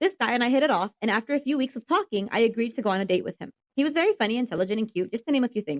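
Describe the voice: Lively intonation in plain reading aloud, over a quiet background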